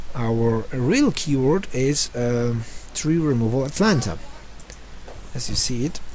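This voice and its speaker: A man's medium-pitched voice with a non-native accent, very slow and full of long, frequent pauses, with ordinary pitch variation and audible room echo. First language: not English. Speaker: online marketing tutor. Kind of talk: screen-share tutorial. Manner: halting, many fillers.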